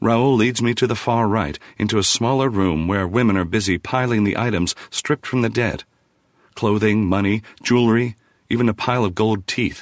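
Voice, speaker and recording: In a dramatic tone, a man speaks at a moderate pace with a fairly low pitch, ordinary pitch variation, and very even loudness. The background is quiet, and the sound is dry and close, with no echo. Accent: American. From New Jersey. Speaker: audiobook narrator. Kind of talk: first-person horror fiction narration, audiobook style. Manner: measured, brooding storytelling with tense dramatic pacing; shifts into character voices for the villain's dialogue.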